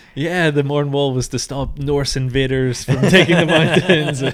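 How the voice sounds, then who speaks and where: Through noticeable background noise, a man with a Northern Irish accent speaks at a fairly high pitch. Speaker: podcast host. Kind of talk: casual chat.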